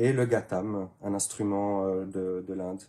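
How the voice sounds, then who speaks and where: A man's somewhat breathy voice, dark and mellow in tone, on a very clean recording with a silent background. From Switzerland, canton of Neuchâtel. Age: 30s. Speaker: handpan maker. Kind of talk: interview. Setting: workshop. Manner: hesitant, many fillers.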